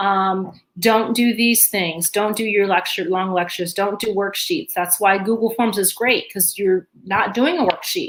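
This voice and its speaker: A woman with a plain, everyday voice speaks at a fairly slow pace and medium pitch, with ordinary pitch variation. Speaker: teacher. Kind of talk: training webinar.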